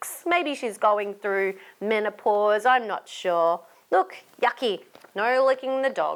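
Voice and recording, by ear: Reading aloud in a natural voice, with pitch rising and falling in an ordinary way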